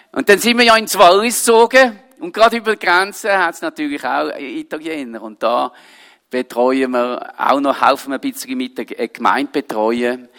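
A man with a Swiss accent speaks at a moderate pace in a high pitch, his animated tone marked by very wide pitch swings. The sound is dry and close, with no echo. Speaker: pastor and missionary. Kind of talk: sermon. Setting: church service with audience.

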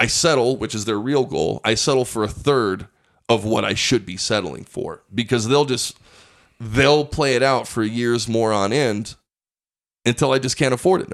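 A man with a plain, everyday voice and an American accent speaks at a moderate pace and medium pitch with ordinary pitch variation. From Pueblo, Colorado. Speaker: stand-up comedian. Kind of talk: casual chat.

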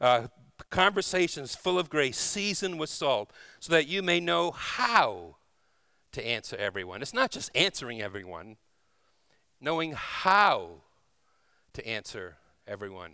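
A man's fairly high voice with vocal fry, a warm tone and also a bright, sharp tone, very wide pitch swings, a fairly slow pace and long, frequent pauses. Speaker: guest preacher. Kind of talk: sermon. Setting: church. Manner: warm, informal, humorous.

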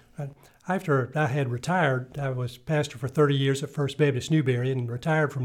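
Speaking with a South Carolina accent, a man has a somewhat breathy, fairly high voice and fairly even intonation. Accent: Southern US (South Carolina). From US South, upstate South Carolina (Greenville). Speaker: retired pastor. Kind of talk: interview.

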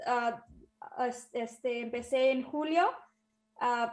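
Here a woman talks in a high voice. Fairly even intonation runs through her speech. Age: 20s. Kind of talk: interview.

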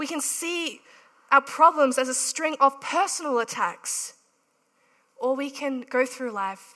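At a moderate pace, a woman with a high pitch speaks in a raised, projected voice. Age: 30s. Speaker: preacher. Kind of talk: sermon.

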